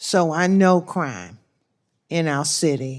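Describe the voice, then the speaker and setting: A woman with a fairly low pitch speaks in an American accent on a very clean recording with a silent background. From Washington, D.C. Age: 60s. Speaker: crime victim's grandmother testifying. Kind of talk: testimony. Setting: senate hearing.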